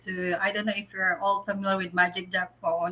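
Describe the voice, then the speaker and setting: A woman's medium-pitched voice, bright and sharp in tone, with fairly even intonation. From Philippines. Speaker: vlogger. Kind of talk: casual chat. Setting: livestream.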